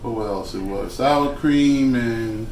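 A man speaks at a very slow pace with ordinary pitch variation. Audible room echo and light background noise surround him. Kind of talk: casual cooking vlog chat. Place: kitchen. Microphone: phone near.

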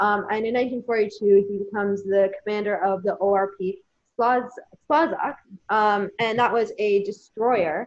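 Against a quiet background, a woman talks at a fairly slow pace. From Canada. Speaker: volunteer museum assistant. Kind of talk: casual interview. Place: home room. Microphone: video call.

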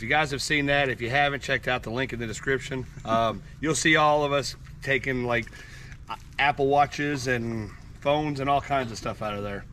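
Over light background noise, a man with a bright, sharp tone speaks at a moderate pace with ordinary pitch variation, the sound dry with no echo. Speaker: dive channel host. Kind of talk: casual vlog chat. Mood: excited, laughing. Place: open country. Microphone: camera far.

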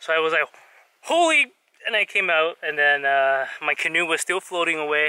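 Against a quiet background, a man talks at a very fast pace in a bright, sharp tone with fairly even intonation and a dry sound with no echo. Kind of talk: casual vlog chat. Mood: rueful, amused, a bit shaken. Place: waterside. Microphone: phone near.

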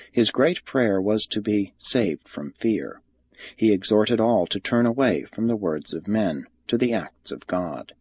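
At a fairly slow pace, a man speaks in a plain, everyday voice. His pitch is fairly low and his intonation lively. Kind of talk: audiobook reading of a religious text. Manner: formal, measured; even, solemn narration.

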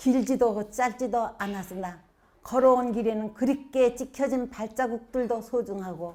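A woman with a fairly high pitch and ordinary pitch variation at a very slow pace, in a very clean recording with a silent background. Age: 80s+. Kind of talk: poetry reading.

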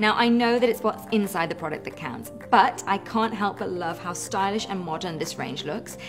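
A woman talks at a fairly quick pace while clear music sounds behind her. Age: 30s. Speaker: mother, product tester. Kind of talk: product testimonial. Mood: upbeat, enthusiastic. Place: home room.

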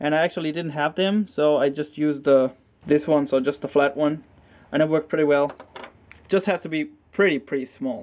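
A man with a non-native accent talks at a fairly quick pace in a fairly high voice, with fairly even intonation and long, frequent pauses. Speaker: hobbyist repairing hard drive. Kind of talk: casual tutorial talk to camera. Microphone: phone near.

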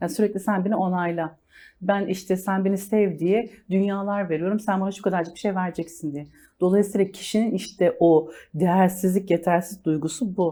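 A woman with a dark, mellow tone speaks at a medium pitch and moderate pace. The recording is very clean, with a silent background. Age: 40s. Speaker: life coach. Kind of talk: TV interview.

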